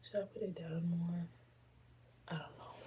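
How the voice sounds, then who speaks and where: A soft-spoken woman's somewhat breathy voice, fairly low in pitch, with a dark, mellow tone and fairly even intonation. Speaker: poetry podcaster. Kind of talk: casual chat. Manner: casual, filler-heavy.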